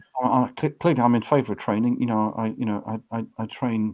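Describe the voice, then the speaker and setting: A man with a British accent at a fairly quick pace, on a very clean recording with a silent background. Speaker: author and organizational change trainer. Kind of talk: interview.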